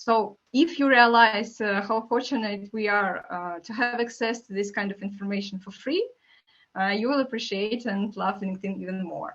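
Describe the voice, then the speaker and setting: With a non-native accent, a woman speaks at medium pitch and a moderate pace, her pitch varying in an ordinary way and her loudness swinging widely. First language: not English. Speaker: marketing manager.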